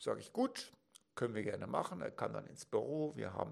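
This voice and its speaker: This is a man's voice. It has vocal fry. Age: 50s. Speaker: financial advisor. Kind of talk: educational talk to camera. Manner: formal.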